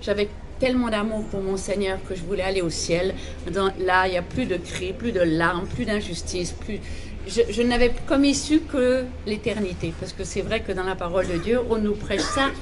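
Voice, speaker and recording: Over noticeable background noise and audible room echo, a woman with an Alsatian accent talks at medium pitch and a moderate pace, with ordinary pitch variation. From Alsace, France. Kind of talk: testimony.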